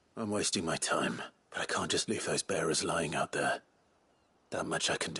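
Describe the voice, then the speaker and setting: A man's fairly low, put-on character voice with long, frequent pauses, in a dry, close sound with no echo. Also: moderate pace. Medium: short film. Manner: low, terse, controlled.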